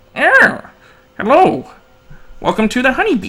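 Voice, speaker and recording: A put-on character voice is pitched high. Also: moderate pace. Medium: actual play. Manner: polite, gentle.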